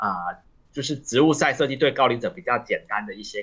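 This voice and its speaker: A man speaks at a moderate pace in a bright, sharp tone, his pitch fairly high. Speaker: associate professor of elderly long-term care. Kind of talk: radio interview. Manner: halting, many fillers.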